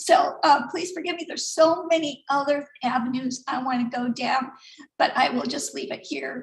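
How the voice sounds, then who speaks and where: Speaking at a high pitch, a woman's voice shows big swings in loudness. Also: ordinary pitch variation. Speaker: artist and online business member. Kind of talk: personal sharing at online event. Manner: fast; halting.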